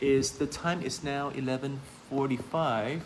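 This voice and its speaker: A man at a medium pitch is heard with noticeable noise in the background. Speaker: insurance agent and sales trainer. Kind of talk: live-stream talk / sales training. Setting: Facebook live stream. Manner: fast.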